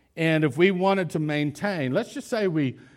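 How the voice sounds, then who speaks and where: At a moderate pace, a man speaks in a normal speaking voice, his intonation lively. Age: 50s. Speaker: pastor. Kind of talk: sermon. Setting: church.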